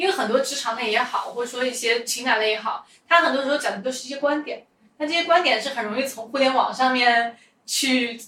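A woman projects a raised voice at a very fast pace, high in pitch with ordinary pitch variation. Audible room echo hangs around her. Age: 20s. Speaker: podcast host, entrepreneur. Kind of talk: casual interview chat.

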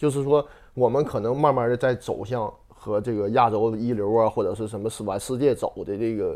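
The pace is fairly quick and the intonation fairly even. The background is quiet. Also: man. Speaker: former footballer. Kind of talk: casual chat.

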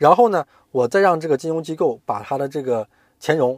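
Very wide pitch swings mark this man's fairly quick speech, captured dry and close with no echo in a very clean recording with a silent background. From Hainan, China. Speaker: corporate finance professional. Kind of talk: interview.

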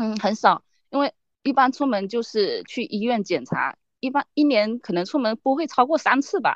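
A woman with a high pitch and lively intonation speaks at a moderate pace, the sound dry and close with no echo. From Fujian, China. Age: 30s. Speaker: rare disease patient and online editor. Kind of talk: interview testimony. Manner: halting, many fillers.

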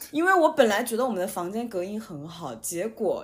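On a very clean recording with a silent background, a woman with a fairly high, somewhat breathy voice speaks at a moderate pace with lively intonation. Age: 30s. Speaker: podcast host and writer. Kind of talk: casual chat.

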